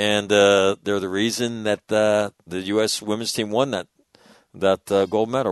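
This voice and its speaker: Quiet background and a dry, close sound with no echo, a man with an American accent, fairly low pitch, an ordinary speaking voice and a moderate pace. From US West (northern California, Sacramento). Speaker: radio host. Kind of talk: casual chat.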